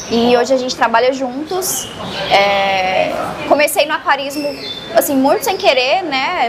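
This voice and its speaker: A high-pitched woman speaks at a moderate pace while noticeable background noise carries on. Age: 20s. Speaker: aquarium influencer. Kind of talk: interview.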